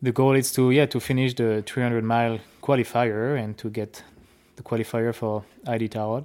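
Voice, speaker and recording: A man with a French accent, medium pitch, and fairly even intonation at a moderate pace, in a very clean recording with a silent background. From France. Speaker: dog sled musher. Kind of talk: interview. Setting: on location at a kennel.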